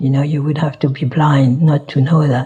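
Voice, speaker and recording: This is a woman speaking. She has a French accent. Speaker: Buddhist teacher. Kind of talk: dharma talk. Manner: halting, many fillers.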